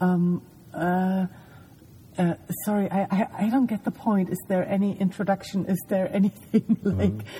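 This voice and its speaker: In a German accent, a woman speaks fairly slowly at medium pitch, her dark, mellow tone somewhat breathy and her intonation fairly even. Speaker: podcast host. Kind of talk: casual chat. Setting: lying in a parked van at night.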